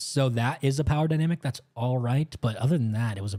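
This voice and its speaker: Medium-pitched male voice, somewhat breathy and dark, mellow in tone, with ordinary pitch variation, a fairly quick pace and a dry, close sound with no echo. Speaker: live stream film reviewer. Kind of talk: live stream review commentary. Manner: casual, animated.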